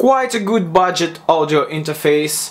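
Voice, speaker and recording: Noticeable background noise sits behind this recording. A man with a Russian accent and a high pitch speaks at a fairly slow pace. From Russia, Moscow. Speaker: music production student teaching a lesson. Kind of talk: tutorial. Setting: small home room with a condenser mic. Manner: halting.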